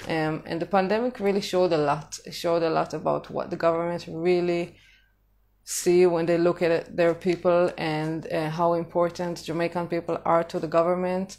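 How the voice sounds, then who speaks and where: On a very clean recording with a silent background, a woman speaks in a flat monotone. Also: fairly low pitch for a woman, moderate pace. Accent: Israeli. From Israel. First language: Hebrew. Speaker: vlogger on living in Jamaica. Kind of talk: casual live-stream talk. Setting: social media live stream. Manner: hesitant, many fillers.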